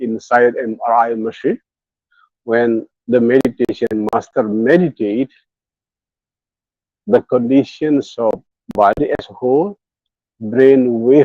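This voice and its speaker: The sound is dry and close, with no echo. A man with an Indonesian accent speaks at a medium pitch in a dark, mellow tone. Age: 60s. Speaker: meditation teacher. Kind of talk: guided meditation talk. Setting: hotel room, online live session. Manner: bilingual, alternating English and Indonesian.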